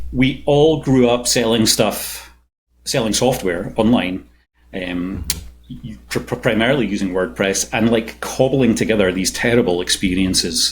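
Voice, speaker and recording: At a fairly slow pace, a man with a fairly low pitch and vocal fry speaks with ordinary pitch variation. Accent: Scottish. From Scotland. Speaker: software engineering manager and startup co-founder. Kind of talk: podcast interview. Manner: hesitant, many fillers and repeats.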